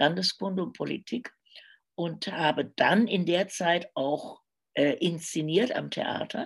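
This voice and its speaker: A woman's fairly low voice with vocal fry, at a very slow pace with ordinary pitch variation. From Germany, Cologne. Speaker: crime novelist and radio journalist. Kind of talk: casual interview. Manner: hesitant, many filler sounds.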